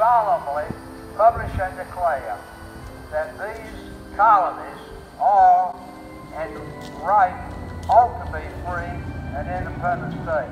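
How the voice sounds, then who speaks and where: A man's very slow speech, with long, frequent pauses over noticeable background noise. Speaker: war veteran. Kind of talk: reading a historic document aloud to a gathering. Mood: solemn, ceremonial. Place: garden. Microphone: camera far.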